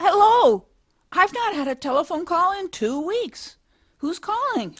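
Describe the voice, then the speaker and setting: Putting on a squeaky character voice, a woman speaks at an extremely high pitch and a moderate pace, with very wide pitch swings. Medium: audio drama. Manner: folksy, exclamatory.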